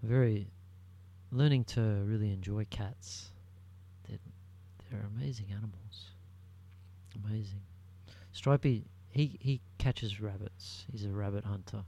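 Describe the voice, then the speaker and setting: Fairly slow with long, frequent pauses, a man's somewhat breathy voice has a dark, mellow tone, a fairly low pitch and ordinary pitch variation. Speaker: solo podcaster. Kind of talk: casual solo monologue. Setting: home recording at night. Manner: soft-spoken; halting.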